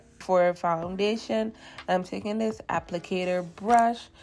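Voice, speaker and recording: A woman's very slow speech at a medium pitch with ordinary pitch variation, music in the background. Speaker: beauty vlogger. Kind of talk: tutorial. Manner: casual.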